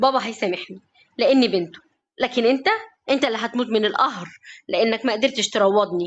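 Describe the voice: Plain reading aloud with ordinary pitch variation is heard over a quiet background.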